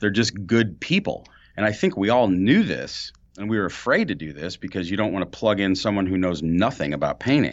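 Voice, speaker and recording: With an American accent and a plain, everyday voice, a man speaks at a fairly quick pace and fairly low pitch, using ordinary pitch variation. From St. Louis, Missouri. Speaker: painting contractor. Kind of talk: casual chat. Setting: borrowed podcast studio office.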